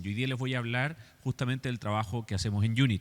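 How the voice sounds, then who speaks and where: Someone speaks at a fairly quick pace with a Chilean accent and ordinary pitch variation. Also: man. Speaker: architect and design educator. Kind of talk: lecture.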